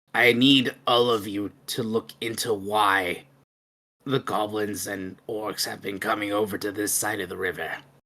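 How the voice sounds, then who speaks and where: This is a put-on character voice, raspy and low in pitch. It moves at a moderate pace. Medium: actual play. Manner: curt, dismissive.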